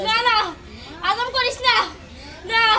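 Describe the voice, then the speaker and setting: The put-on character voice sits at an extremely high pitch. Its intonation is monotone and flat. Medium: short film. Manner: cackling, theatrical villainy.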